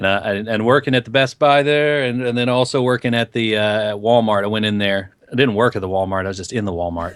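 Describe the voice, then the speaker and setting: A man's medium-pitched voice with a slight Southern US accent, ordinary pitch variation, a very fast pace and hardly any pauses. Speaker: podcast co-host. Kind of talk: casual chat.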